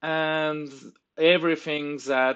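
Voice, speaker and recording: A man with a French accent speaks at a very slow pace, his pitch fairly high. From France. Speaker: tabletop game tool developer. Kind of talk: tutorial. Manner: halting.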